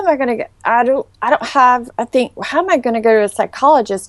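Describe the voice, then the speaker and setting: A woman's high voice in a Southern US accent, in dry, close sound with no echo. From US South, Charleston, South Carolina. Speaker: former model. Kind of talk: interview.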